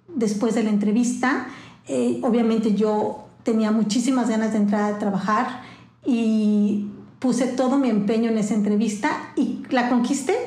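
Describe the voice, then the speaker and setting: A woman's fairly high, fairly even voice at a fairly slow pace, with audible room echo and noticeable background noise. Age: 50s. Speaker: media company founder and CEO. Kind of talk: interview.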